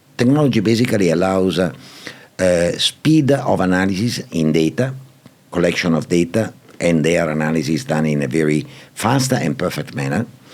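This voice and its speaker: A man with an Italian accent speaks at a moderate pace in a very deep, low pitch with very wide pitch swings. His loudness stays very even, and there is noticeable background noise. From Italy. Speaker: property and PropTech executive. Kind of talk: podcast interview answer.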